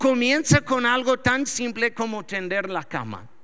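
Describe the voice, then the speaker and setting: Projecting a raised voice, a man talks at a fairly slow pace with an extremely high pitch. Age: 40s. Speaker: pastor. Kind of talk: sermon. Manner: halting.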